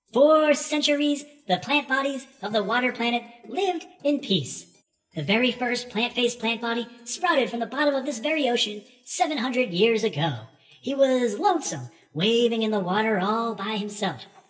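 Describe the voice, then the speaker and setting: With a put-on character voice, a female-sounding speaker talks at a moderate pace and a high pitch. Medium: read story. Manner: theatrical, fussy, long-winded.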